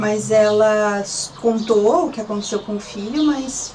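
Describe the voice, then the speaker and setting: With audible echo from the room and noticeable noise in the background, she talks at a medium speed. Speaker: missionary. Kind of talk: testimony. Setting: apartment balcony.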